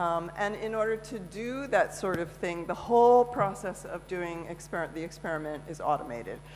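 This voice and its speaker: A woman's voice sits fairly low, with lively intonation. Room echo is audible. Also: hardly any pauses. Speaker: conference speaker. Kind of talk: conference talk. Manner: fast; halting, many fillers.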